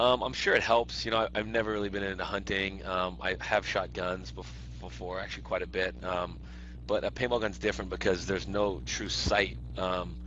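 Over light background noise, a man with a very deep, low pitch and vocal fry speaks at a fairly quick pace, the sound dry with no echo. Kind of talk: interview answer. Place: office. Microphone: headset.

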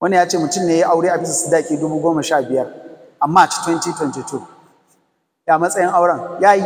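A man talks at a fast pace in a fairly high pitch, with a slightly husky edge and ordinary pitch variation.

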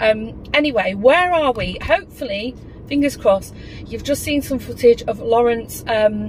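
A woman speaks at a fairly slow pace, with light background noise behind her. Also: dry sound with no echo. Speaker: vlogger. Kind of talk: casual vlog chat. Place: car. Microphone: phone near.

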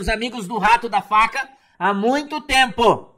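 Speaking in a raised, projected voice at a fairly slow pace, a man with a Brazilian accent has an extremely high pitch, a bright, sharp tone and ordinary pitch variation over a quiet background. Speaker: preacher and online commentator. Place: home room. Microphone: webcam.

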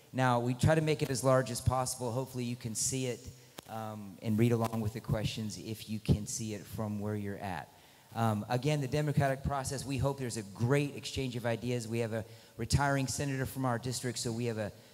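Music sits in the background as a man talks at a fairly quick pace with ordinary pitch variation. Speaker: teacher moderating a debate. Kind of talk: announcement to an audience. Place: hall. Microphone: handheld.

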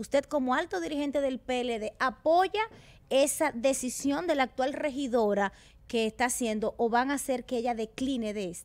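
A woman talks at a moderate pace with a high pitch. Her intonation is lively. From Dominican Republic. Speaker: TV panelist. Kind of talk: interview; interview talk on politics. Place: studio. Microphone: studio mic.

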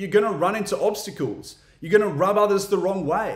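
A man's high-pitched voice at a fairly quick pace, with audible room echo against a quiet background. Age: 30s. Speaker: podcast host. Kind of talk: solo educational talk.

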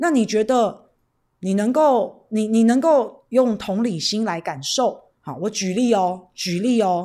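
With a quiet background behind her, a woman speaks in an animated tone and a fairly high voice, using lively intonation at a fairly slow pace. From Taiwan. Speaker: political livestream host. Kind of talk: livestream chat with viewers. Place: studio. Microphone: studio mic.

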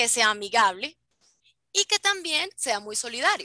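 A woman speaks at a fairly slow pace in a high pitch with very wide pitch swings and a bright, sharp tone. The sound is dry and close with no echo. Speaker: flight attendant. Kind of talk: educational talk over video call.

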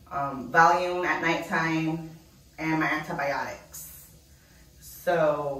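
A woman speaks in a very deep, low voice with monotone, flat intonation and audible room echo. Her pace is very slow, broken by long, frequent pauses. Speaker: vlogger. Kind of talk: casual vlog. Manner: halting, repetitive. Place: bathroom.

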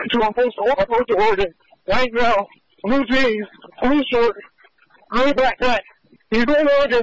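A man with an American accent talks at a moderate pace in an extremely high pitch. His pitch varies in an ordinary way, and the sound is dry and close with no echo.

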